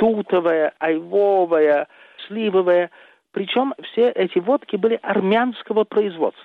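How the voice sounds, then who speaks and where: A man speaks very slowly in a high pitch. His loudness stays very even. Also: ordinary pitch variation. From Russia, Moscow. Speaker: journalist. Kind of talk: interview.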